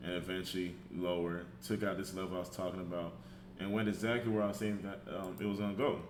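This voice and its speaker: This man's voice is very deep and low, with vocal fry. He speaks at a moderate pace with lively intonation. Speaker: trader. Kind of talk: trading chart breakdown.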